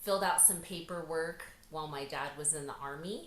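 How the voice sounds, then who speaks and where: A woman with an American accent in a room with audible echo. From US, North Idaho. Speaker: author and speaker. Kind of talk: interview, personal story.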